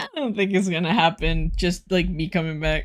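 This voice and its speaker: This voice has vocal fry and ordinary pitch variation, moving at a moderate pace. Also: woman. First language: Spanish. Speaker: vtuber streamer. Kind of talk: casual chat. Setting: live stream. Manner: casual, frequent fillers.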